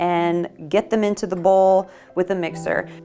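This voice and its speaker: A woman at a fairly slow pace, upbeat in tone, with music in the background. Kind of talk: casual talk to camera. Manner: upbeat, chatty.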